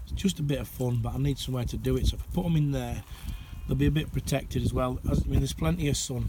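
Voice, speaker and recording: A man's voice over noticeable background noise. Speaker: allotment gardener. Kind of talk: casual talk to camera. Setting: outdoors.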